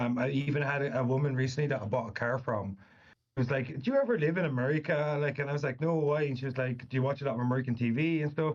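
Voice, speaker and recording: A man speaks at a very fast pace, somewhat breathy. His loudness stays very even and his intonation fairly even. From Irish Midlands. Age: 30s. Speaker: author. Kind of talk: casual interview chat.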